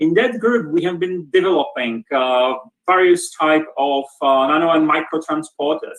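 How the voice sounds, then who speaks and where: A fairly high-pitched man with a Czech accent, ordinary pitch variation and a moderate pace. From Czech Republic, Brno. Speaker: professor, department head. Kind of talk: lecture. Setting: video call. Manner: halting, many repetitions.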